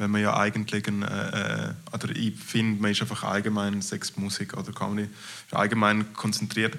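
A man with a Graubünden Swiss accent speaks at a moderate pace in a fairly low pitch with monotone, flat intonation, over noticeable background noise. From Switzerland, Graubünden. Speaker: comedian. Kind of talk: casual interview.

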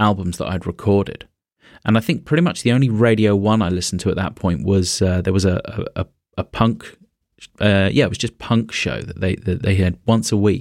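The speaker has a British accent and ordinary pitch variation. The recording is very clean, with a silent background. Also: man. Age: 40s. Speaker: podcaster. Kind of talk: casual chat.

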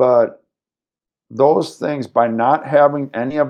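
This man has an American accent. He speaks at a fairly slow pace with ordinary pitch variation. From US Midwest, Madison, Wisconsin. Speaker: fitness trainer and gym founder. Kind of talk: interview.

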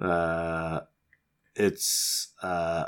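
The man's voice sits at a very deep, low pitch. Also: very clean recording, silent background. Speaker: podcast co-host. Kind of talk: casual chat.

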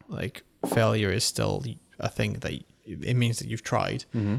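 A man speaks at a medium pitch with vocal fry and ordinary pitch variation. The recording is very clean with a silent background, and the sound is dry and close with no echo. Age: 20s. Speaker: podcast co-host. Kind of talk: casual chat.

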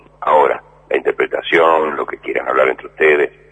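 A man at a fairly quick pace, dry and close with no echo, over noticeable background noise. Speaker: radio host. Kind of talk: radio show closing remarks. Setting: radio.

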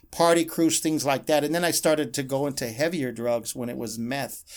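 A man with an American accent and an unremarkable speaking voice talks at a fairly high pitch with ordinary variation on a very clean recording with a silent background. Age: 50s. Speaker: pastor. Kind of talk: testimony. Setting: radio studio.

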